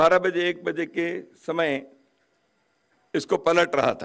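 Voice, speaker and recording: A man with a high-pitched voice. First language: Kannada (speaking Hindi). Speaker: guest speaker at a book launch. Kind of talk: formal ceremonial speech.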